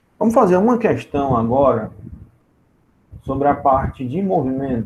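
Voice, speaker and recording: A man talks fairly slowly with lively intonation, his voice fairly high and somewhat breathy. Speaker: physics teacher. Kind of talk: online lecture.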